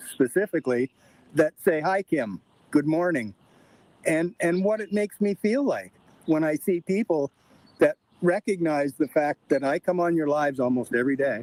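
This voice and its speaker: Speaking at a moderate pace with long, frequent pauses, a man with a fairly high voice and a Canadian accent uses lively intonation, the sound dry and close with no echo. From Ontario, Canada. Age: 60s. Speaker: livestream guest. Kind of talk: casual chat. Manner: halting.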